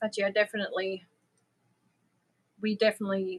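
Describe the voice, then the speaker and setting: The woman's tone is bright and sharp, and the sound is dry and close with no echo. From Germany. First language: German. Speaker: crochet livestreamer. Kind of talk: casual chat. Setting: live stream.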